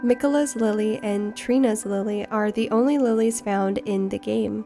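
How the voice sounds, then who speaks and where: With music in the background, a woman talks at a fairly high pitch. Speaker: video game lore narrator. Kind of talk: game lore narration.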